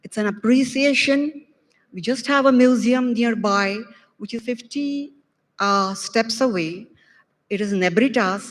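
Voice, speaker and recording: A somewhat breathy woman talks at a fairly slow pace in a very clean recording with a silent background. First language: not Arabic. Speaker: doctor attending conference. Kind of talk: audience testimony of gratitude.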